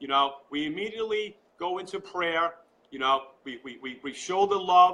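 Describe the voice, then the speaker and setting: A man in a New York accent speaks with ordinary pitch variation. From Long Island, New York. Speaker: political supporter. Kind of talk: live interview. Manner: animated.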